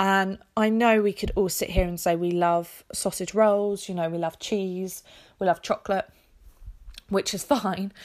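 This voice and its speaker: In a very clean recording with a silent background, a woman with an English accent speaks at a fairly slow pace and medium pitch. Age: 20s. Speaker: podcast host. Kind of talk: casual solo chat.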